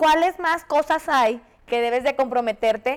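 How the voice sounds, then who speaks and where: In a Mexican accent, a woman speaks at a high pitch with ordinary pitch variation and a fairly slow pace. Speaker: podcast co-host, nutritionist. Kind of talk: casual chat. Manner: animated.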